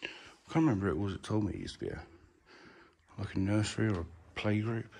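Speaking very fast, a man with a fairly low pitch uses ordinary pitch variation. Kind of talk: casual vlog commentary. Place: empty room. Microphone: phone near.

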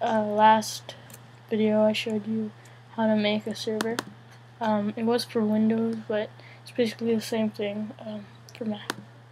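A woman's fairly high, monotone, flat voice at a moderate pace, with big swings in loudness, long, frequent pauses and noticeable background noise. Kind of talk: casual screen-recording tutorial.

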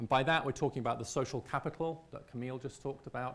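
The speaker is a man with a British accent. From Britain. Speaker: visiting scholar. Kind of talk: lecture presentation. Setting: stage with audience. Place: hall. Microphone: lapel.

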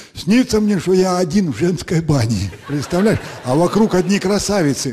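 A man at a moderate pace, with lively intonation. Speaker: comedian. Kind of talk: stand-up comedy monologue. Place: stage. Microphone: handheld.

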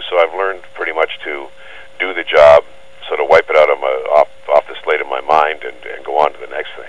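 A man talks very fast amid noticeable background noise. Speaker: voice-over artist. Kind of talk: phone interview answer. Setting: phone line. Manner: relaxed, conversational.

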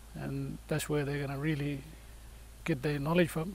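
A somewhat breathy man's voice, fairly high in pitch and flat in monotone, at a moderate pace with audible room echo. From Fitzroy Crossing, Kimberley, Western Australia. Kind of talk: interview.

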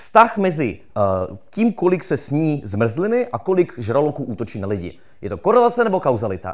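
Over a quiet background, a man with a fairly high pitch and vocal fry talks in an animated tone with very wide pitch swings. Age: 20s. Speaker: political science graduate and YouTuber; YouTuber. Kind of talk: live talk to audience. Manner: fast. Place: stage. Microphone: handheld.

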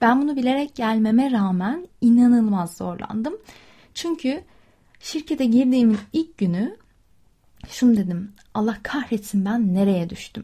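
Fairly slow, lively intonation from a woman with a fairly high pitch and a dark, mellow tone. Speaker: podcast host. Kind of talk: casual monologue.

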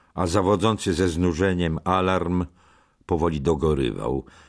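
The talking proceeds at a fairly slow pace, and the background stays quiet. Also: man. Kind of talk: audiobook narration. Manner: dramatic, gripping narration that tenses at the frenzied sermon lines.

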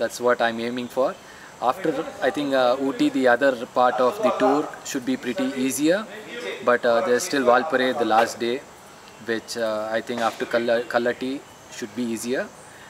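A man with ordinary pitch variation amid noticeable background noise. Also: moderate pace. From India, Karnataka (Mysore); Karnataka, India. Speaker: amateur cyclist, tour participant. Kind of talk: casual interview. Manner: hesitant, with fillers. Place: garden.

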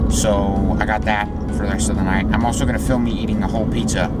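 A man speaks at a fairly quick pace while music runs in the background. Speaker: vlogger. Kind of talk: casual vlog chat. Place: car. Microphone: phone near.

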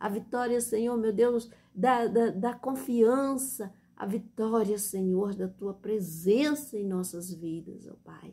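Somewhat breathy and dark, mellow in tone, a woman with a Brazilian accent speaks at a very slow pace. Her tone is solemn and her intonation fairly even. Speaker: church deaconess preacher. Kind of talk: evangelical sermon and Bible reading. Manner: impassioned, earnest and heartfelt, with the solemn cadence of an evangelical prayer. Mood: fervent, emotional prayer. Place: home room. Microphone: phone near.

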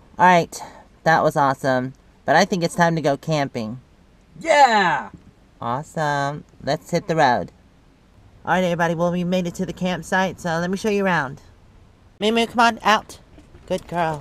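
Her fairly low-pitched voice carries lively intonation at a moderate pace, broken by long, frequent pauses. The woman's sound is dry, with no echo. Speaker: travel vlogger. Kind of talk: casual vlog chat. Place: forest. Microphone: phone near.

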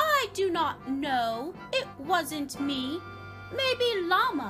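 A woman uses a put-on character voice, extremely high and bright, sharp in tone, with big pitch swings. She speaks very slowly while faint music plays in the background.

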